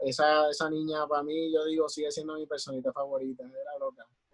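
An unremarkable speaking voice from a man, fairly high in pitch, at a moderate pace. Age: 30s. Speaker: children's clown. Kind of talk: casual chat.

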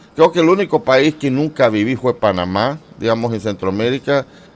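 The speaker talks at a moderate pace. It is a plain, everyday voice. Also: man. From Central America, mostly Honduras and Nicaragua. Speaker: YouTuber. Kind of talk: interview.

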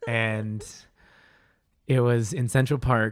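A man at a medium pitch and a very slow pace, on a very clean recording with a silent background. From Eastern Colorado (rural plains). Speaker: running coach and fitness instructor. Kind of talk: casual chat. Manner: animated, energetic; frequent laughter.

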